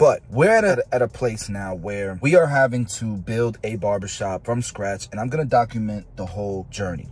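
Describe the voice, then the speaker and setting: A man speaks in a somewhat breathy voice, his loudness swinging widely. The sound is dry with no echo. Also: fairly low pitch for a man, ordinary pitch variation, moderate pace, hardly any pauses. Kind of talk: casual vlog chat. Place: car. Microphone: earbuds.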